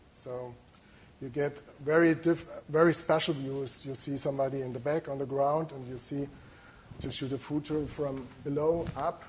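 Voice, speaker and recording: A man with a German accent speaks at a fairly high pitch in a monotone, flat, somewhat breathy voice, with big swings in loudness. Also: moderate pace. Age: 40s. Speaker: photographer. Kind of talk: lecture. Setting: lecture hall with audience. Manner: halting.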